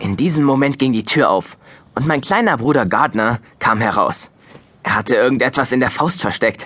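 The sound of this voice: The tone is fairly bright with a slightly husky edge. Intonation is lively, and the pace is moderate. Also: man, medium pitch for a man.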